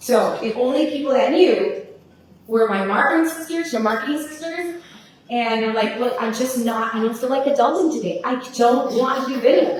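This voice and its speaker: Loud and animated, a woman speaks at a high pitch with lively intonation. Noticeable background noise and audible room echo fill the recording. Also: moderate pace. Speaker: social media marketing agency owner, speaker. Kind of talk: workshop talk to live audience. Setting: room with live audience.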